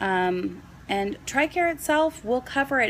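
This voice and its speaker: This woman talks at a fairly slow pace with lively intonation. She has a plain, everyday voice. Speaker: nurse and vlogger. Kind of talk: casual vlog explanation.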